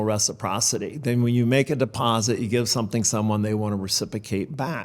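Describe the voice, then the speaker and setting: A man uses an ordinary speaking voice, medium in pitch and with ordinary pitch variation. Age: 60s. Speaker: financial services firm founder. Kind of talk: interview.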